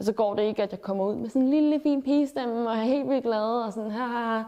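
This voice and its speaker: A woman's fairly high voice at a moderate pace, with ordinary pitch variation and an ordinary speaking voice. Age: 20s. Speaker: student and activist speaker. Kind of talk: interview testimony.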